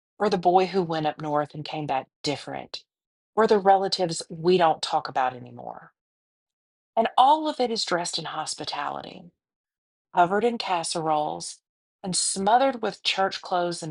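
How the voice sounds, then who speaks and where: In a Southern US accent, a woman with a fairly low pitch talks at a moderate pace, her intonation lively and her loudness swinging widely. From US South. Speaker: podcast host. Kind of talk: scripted podcast monologue.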